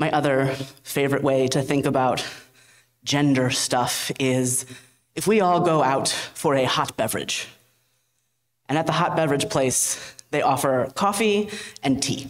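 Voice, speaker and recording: A woman speaks with a very deep, low pitch and very even loudness, leaving long, frequent pauses. Audible room echo surrounds her voice. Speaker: minister. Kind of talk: sermon. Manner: conversational.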